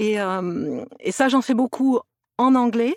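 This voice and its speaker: The sound of this woman's voice is dry and close, without any echo. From France, near Toulouse. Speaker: actress and voice actress. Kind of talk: podcast interview. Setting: remote recording.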